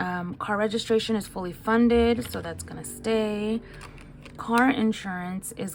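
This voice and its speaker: A woman talks here. Background noise is noticeable behind her. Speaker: nurse and budgeting vlogger. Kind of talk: casual budgeting vlog. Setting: at home. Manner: speaking louder than usual.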